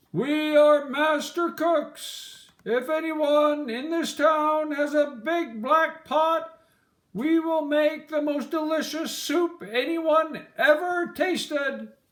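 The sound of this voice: Using a put-on character voice, a man speaks slowly at an extremely high pitch with a fairly bright tone and audible room echo. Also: ordinary pitch variation.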